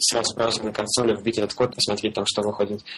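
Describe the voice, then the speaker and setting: A man speaks at a very fast pace with medium pitch. Noticeable background noise runs behind him. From Russia, Belgorod. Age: 20s. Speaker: frontend web developer, freelancer. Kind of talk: casual interview. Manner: hesitant, many fillers.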